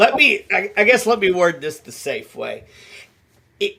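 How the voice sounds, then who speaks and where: A man with an Appalachian accent at a moderate pace. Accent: Appalachian American. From Appalachian Mountains, United States. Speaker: paranormal investigator and shaman. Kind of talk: interview answer.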